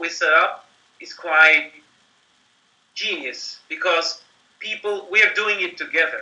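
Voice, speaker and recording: At a moderate pace, a man speaks in a raised, projected voice. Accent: non-native. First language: not English. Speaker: company marketing executive. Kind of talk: interview. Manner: animated.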